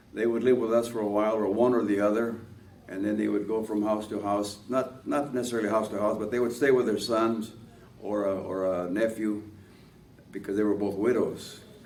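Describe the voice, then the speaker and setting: A man's fairly low, monotone, flat voice at a fairly quick pace, with audible room echo and noticeable background noise. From Los Angeles, Boyle Heights (Mexican-American family). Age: 90s. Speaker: war veteran. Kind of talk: oral history interview. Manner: halting, many fillers.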